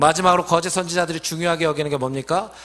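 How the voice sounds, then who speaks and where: This man's voice sits high in pitch. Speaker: pastor. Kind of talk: sermon. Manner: fast.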